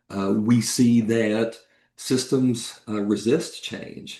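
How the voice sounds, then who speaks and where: Here a man with an American accent speaks at medium pitch in a dark, mellow tone. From East Tennessee. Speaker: cybersecurity executive and AI ethicist. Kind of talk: podcast interview.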